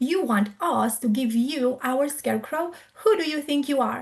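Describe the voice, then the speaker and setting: A woman's put-on character voice, high-pitched with lively intonation. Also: moderate pace. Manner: scary, intimidating.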